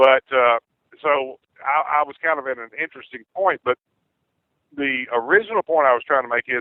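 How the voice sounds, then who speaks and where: A man with a Southern US accent at a moderate pace. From US South, Clarksdale, Mississippi. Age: 50s. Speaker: caller. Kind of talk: political talk radio discussion. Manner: halting, many fillers and repeats.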